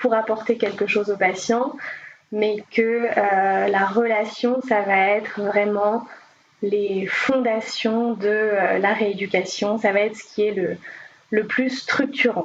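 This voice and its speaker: Against noticeable background noise, a woman with a fairly high pitch talks at a very slow pace. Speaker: speech therapist. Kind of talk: podcast interview.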